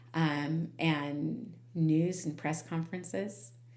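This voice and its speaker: A woman's animated, very deep, low voice amid audible room echo and noticeable background noise. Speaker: podcast host. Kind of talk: casual chat. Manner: loud.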